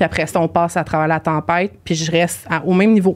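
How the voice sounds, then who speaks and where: A woman with a Quebec accent talks at a moderate pace in a fairly low pitch. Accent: Québécois French. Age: 30s. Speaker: podcast guest, team leader and author. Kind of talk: casual chat. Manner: animated.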